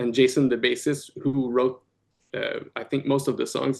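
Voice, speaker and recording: With a French-Canadian accent, a man speaks at a medium pitch in a monotone, flat intonation against a quiet background. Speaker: rock band guitarist and vocalist. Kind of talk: casual podcast interview. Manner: halting, many fillers and repeats.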